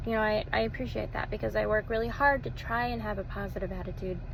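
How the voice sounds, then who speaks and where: Speaking at a very fast pace with hardly any pauses, a woman with an American accent is heard amid audible room echo. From Texas. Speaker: social media vlogger. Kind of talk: casual personal testimony vlog. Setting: self-recorded video. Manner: hesitant, with fillers and repeated words.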